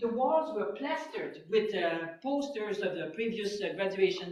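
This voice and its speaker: At a moderate pace, the speaker's pitch swings very widely in a Quebec accent, with audible room echo around the voice. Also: woman. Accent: French Canadian accent in English. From Quebec, French Canada. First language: French. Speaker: physicist. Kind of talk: public talk. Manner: hesitant, many fillers.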